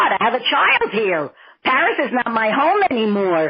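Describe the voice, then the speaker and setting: A woman speaks in a Brooklyn accent. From Brooklyn, New York. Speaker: deli owner's wife. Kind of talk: casual chat.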